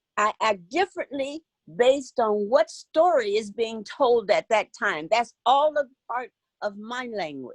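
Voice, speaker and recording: Recorded with a dry, close sound and no echo, a woman talks fairly slowly at a fairly high pitch, her voice making very wide pitch swings. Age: 70s. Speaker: participant, educator. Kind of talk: casual comment in group discussion.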